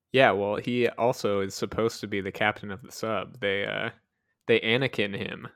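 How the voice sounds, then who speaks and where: Over a silent background in a very clean recording, a man with a fairly low pitch speaks at a moderate pace in a monotone, flat delivery with big swings in loudness. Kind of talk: casual chat.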